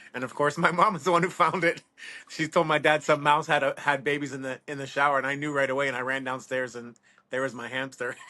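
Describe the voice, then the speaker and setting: A man's fairly high, bright and sharp voice at a very fast pace, fairly even in intonation but with big swings in loudness. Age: 50s. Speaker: reptile breeder. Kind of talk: casual chat.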